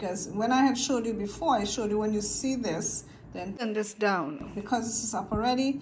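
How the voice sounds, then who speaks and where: The woman keeps a moderate pace while clearly audible background noise and room echo surround her. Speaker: video creator teaching cube solving. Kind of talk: tutorial. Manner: casual, halting with fillers.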